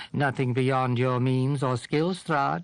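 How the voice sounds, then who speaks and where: Using a put-on character voice, a man with a medium pitch speaks at a fairly slow pace. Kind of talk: gothic horror audiobook reading. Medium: read story. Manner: taunting, tempting.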